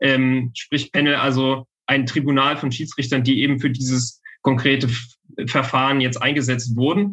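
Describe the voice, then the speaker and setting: A man's unremarkable speaking voice, medium in pitch, with fairly even intonation, very even loudness, and a moderate pace. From western Saxony, Germany. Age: 20s. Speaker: legal researcher. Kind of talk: interview.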